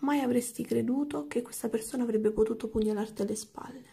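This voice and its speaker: Quiet and fairly high-pitched, a woman speaks with a dark, mellow tone and vocal fry. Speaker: tarot card reader; tarot reader. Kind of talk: tarot reading. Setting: at home late at night. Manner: speaking quietly. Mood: calm, empathetic. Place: home room.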